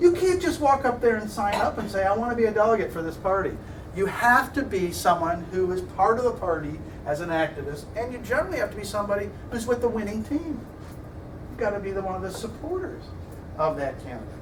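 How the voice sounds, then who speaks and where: A man with a Midwestern American accent talks at a very fast pace and a high pitch, with very wide pitch swings. Room echo is audible, and background noise is noticeable. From US Midwest. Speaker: political science lecturer. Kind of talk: lecture.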